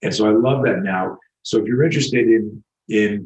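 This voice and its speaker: The speaker is a man. He talks at a moderate pace. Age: 60s. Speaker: self-defense instructor. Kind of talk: interview. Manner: halting.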